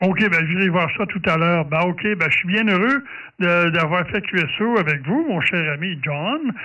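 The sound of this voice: With a bright, sharp tone and lively intonation, a man speaks at a moderate pace in a high pitch.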